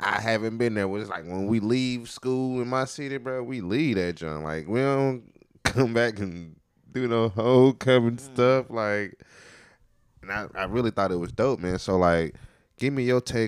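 A man speaks at a moderate pace with a fairly low pitch and ordinary pitch variation, on a very clean recording with a silent background. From North Carolina (High Point). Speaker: podcast host. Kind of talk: casual chat. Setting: home studio. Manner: animated.

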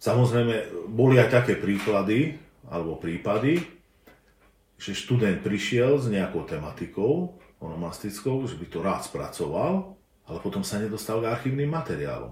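A man's voice shows vocal fry and very wide pitch swings, with audible room echo. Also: medium pitch for a man, moderate pace. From southern Slovakia, bilingual Slovak-Hungarian family. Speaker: linguistics professor. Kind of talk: interview. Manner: hesitant, frequent filler sounds.

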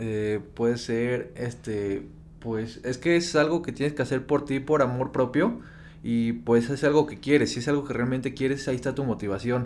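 At a moderate pace, a man with medium pitch and ordinary pitch variation has an ordinary speaking voice. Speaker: podcast co-host, online entrepreneur. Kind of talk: casual chat.

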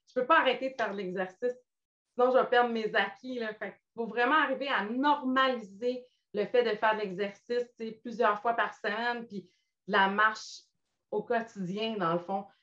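With long, frequent pauses, a woman talks at a moderate pace in a fairly high pitch, her tone bright and sharp and her pitch variation ordinary. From Quebec, Montmagny. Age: 50s. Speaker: weight-loss client sharing her story. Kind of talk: interview testimony. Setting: live video stream.

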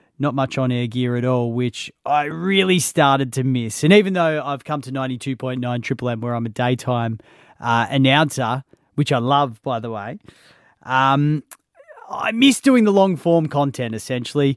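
Pitch varies in a normal way as the delivery holds a moderate tempo. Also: man, medium pitch for a man. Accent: Australian. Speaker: radio announcer and podcast host. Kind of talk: solo podcast monologue. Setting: radio station studio. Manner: casual, conversational.

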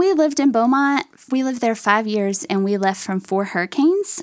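Speaking at a moderate pace with an East Texas accent, a woman lets her pitch swing very widely. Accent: East Texas Southern. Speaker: mother of a child with medical needs. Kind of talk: testimony.

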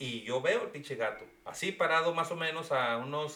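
A man with a high-pitched voice. He speaks at a fairly slow pace. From Mexico. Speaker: podcast co-host. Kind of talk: casual chat.

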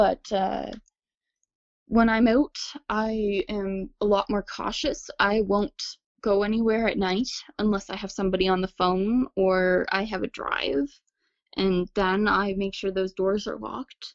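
A woman's medium pitch with a Nova Scotian accent, fairly even intonation and a fairly slow pace. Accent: Nova Scotian Canadian English. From Nova Scotia, Canada. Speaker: witness sharing encounter. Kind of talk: testimony.

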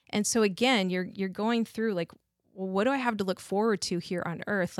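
A woman with a plain, everyday voice, medium pitch and fairly even intonation, recorded dry and close with no echo in a very clean recording with a silent background. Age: 40s. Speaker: guest sharing personal faith story. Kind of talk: testimony.

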